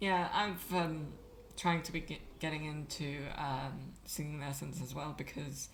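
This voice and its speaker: Audible room echo surrounds a woman whose very deep, low voice carries vocal fry and fairly even intonation. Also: fairly slow pace. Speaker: vtuber streamer. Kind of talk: casual interview chat.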